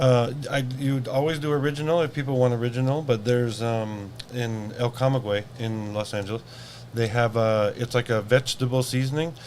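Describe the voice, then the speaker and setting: Noticeable background noise surrounds a man with an American accent. He talks at a fairly quick pace and a medium pitch with fairly even intonation. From US Pacific Northwest, Seattle. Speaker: event organizer. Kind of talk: casual interview.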